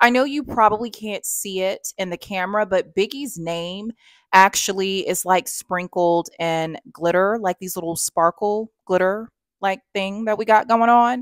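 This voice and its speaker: Against a quiet background, the speech comes at a fairly slow pace with a dry sound and no echo. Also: woman. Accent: Alabama. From US South, Alabama. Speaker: fashion YouTuber. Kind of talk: try-on haul vlog. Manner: chatty, animated. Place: home room.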